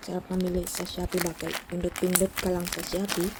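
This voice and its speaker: There is noticeable background noise as a woman talks at medium pitch. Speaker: small YouTuber, unboxing products. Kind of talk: casual unboxing vlog.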